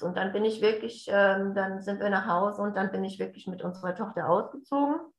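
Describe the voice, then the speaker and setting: A woman has an unremarkable speaking voice at a medium pitch. Her intonation is fairly even, and her pace is moderate. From Hessen, near Hanau. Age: 40s. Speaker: family coach, addiction relative. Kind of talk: interview, personal testimony.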